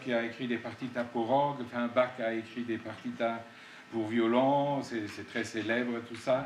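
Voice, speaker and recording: A man's medium-pitched voice with a non-native accent, fairly even intonation and a fairly slow pace, with audible room echo and noticeable background noise. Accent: foreign accent in French. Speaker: composer. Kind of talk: public talk interview. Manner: hesitant, many fillers.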